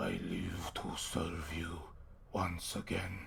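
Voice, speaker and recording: Using a put-on character voice, a man whispers and growls at a very slow pace over clear background noise. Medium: actual play. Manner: gruff, menacing.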